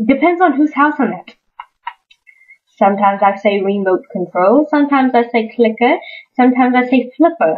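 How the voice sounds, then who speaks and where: A woman's high-pitched voice in an American accent, with lively intonation, a fairly quick pace, long, frequent pauses, and music in the background. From American South.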